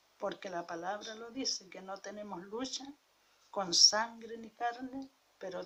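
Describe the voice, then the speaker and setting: A woman talks at a very slow pace in a fairly high pitch. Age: 70s. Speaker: preacher. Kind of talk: sermon.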